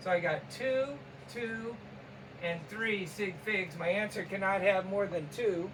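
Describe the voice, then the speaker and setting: A man talks at a fairly slow pace in a high pitch. Noticeable background noise sits behind him. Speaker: chemistry teacher. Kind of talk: tutorial.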